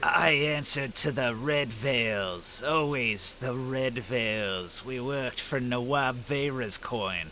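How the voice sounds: A man speaks in a raspy put-on character voice at a medium pitch. He goes at a fairly slow pace against clear background noise.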